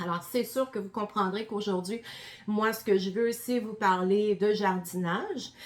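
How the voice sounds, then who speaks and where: A woman with a Quebec accent speaks fairly slowly at a medium pitch with fairly even intonation, against noticeable background noise. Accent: Québécois. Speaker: gardening presenter, former health professional. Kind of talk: presentation to an audience. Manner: many hesitations (euh).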